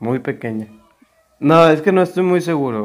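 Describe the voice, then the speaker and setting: Against a quiet background, a man talks at a fairly high pitch. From Mexico. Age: 20s. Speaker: youtuber's husband. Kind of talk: casual chat. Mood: relaxed, joking. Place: home room. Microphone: lapel.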